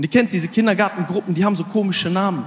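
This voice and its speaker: The man speaks in an animated tone. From Aachen area, Germany; Germany. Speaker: comedian. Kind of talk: stand-up. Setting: stage with audience. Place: stage. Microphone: handheld.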